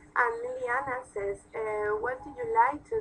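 With music playing in the background, a woman talks at a moderate pace, her pitch swinging very widely. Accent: Spanish. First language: Spanish. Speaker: TV interviewer. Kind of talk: interview. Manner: halting, non-native phrasing.

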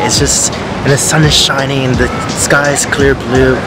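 A man is speaking with music playing behind him. The sound is dry, with no echo. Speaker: travel vlogger. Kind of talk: casual vlog chat. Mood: relaxed, delighted.

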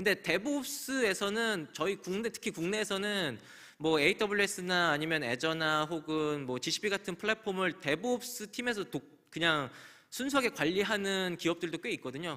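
A man's raised, projected voice, high in pitch, bright and sharp in tone, with lively intonation at a fairly slow pace against a quiet background. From South Korea. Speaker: conference speaker on cloud security; conference speaker. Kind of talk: conference talk. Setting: stage with audience. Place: hall. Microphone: podium.

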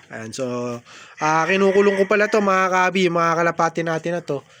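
The talking races along very quickly, its pitch rising and falling in a typical way. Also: man. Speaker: pigeon racing hobbyist vlogger. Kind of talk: casual vlog tutorial. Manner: casual, many hesitations.

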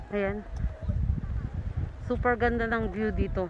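A woman speaks in a bright, sharp tone. The sound is dry with no echo, with light background noise. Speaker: vlogger. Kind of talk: casual vlog chat. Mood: cheerful, playful. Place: open country. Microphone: phone near.

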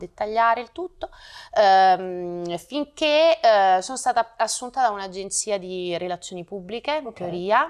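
A woman speaks against a quiet background. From Naples, southern Italy. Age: 40s. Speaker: brand manager and actress. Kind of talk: interview. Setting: studio. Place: home room.

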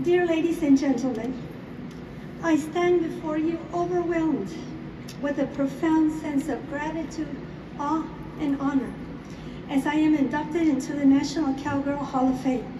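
At a moderate pace, a woman speaks in a high voice with ordinary pitch variation and long, frequent pauses. Noticeable background noise is present. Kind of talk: acceptance speech. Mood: grateful, emotional, formal. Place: hall.

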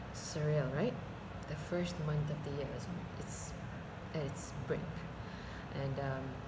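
Loud background noise sits under speech delivered at a very slow pace. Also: woman. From Malaysia. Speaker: branding specialist, voice over artist. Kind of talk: casual vlog talk to camera. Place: home room. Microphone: webcam.

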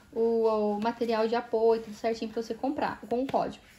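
At a fairly quick pace, a woman with a Brazilian accent speaks at a fairly high pitch. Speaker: cosmetics sales consultant and video blogger; cosmetics sales consultant, video blogger. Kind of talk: product walkthrough video. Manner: casual, conversational. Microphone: phone near.

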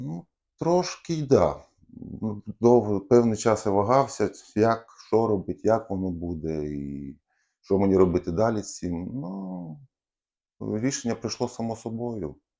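Against a quiet background, a man with a dark, mellow tone speaks at a fairly slow pace with lively intonation. His loudness swings widely, and he leaves long, frequent pauses. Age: 30s. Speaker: car mechanic and leg amputee. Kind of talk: interview. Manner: halting, hesitant with fillers.

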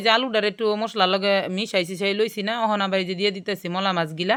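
A woman's voice at a medium pitch. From Bangladesh, Gazipur. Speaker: cooking YouTuber. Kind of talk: cooking tutorial. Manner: casual, chatty.

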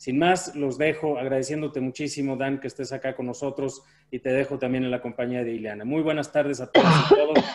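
A man's fairly quick speech with fairly even intonation and hardly any pauses. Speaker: university dean. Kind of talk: formal introduction. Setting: video call. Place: office. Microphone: video call.

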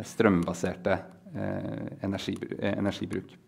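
A man speaks against a quiet background. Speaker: researcher. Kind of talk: lecture. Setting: stage with audience. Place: hall.

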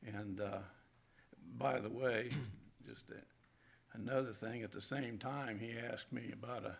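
A man with vocal fry and fairly even intonation speaks with long, frequent pauses, with audible echo in the room. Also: medium pitch for a man. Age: 70s. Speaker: property owner speaking at public hearing. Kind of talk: public comment at council hearing. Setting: city council meeting. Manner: halting, many fillers.

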